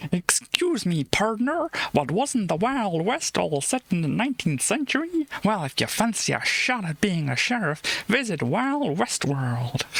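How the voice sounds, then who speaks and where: A put-on character voice speaks at a fairly high pitch and a moderate pace. Its pitch swings very widely, with hardly any pauses. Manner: mock-friendly, advertising tone.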